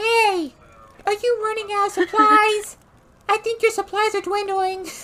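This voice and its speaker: A put-on character voice, squeaky and extremely high-pitched, at a moderate pace. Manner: teasing.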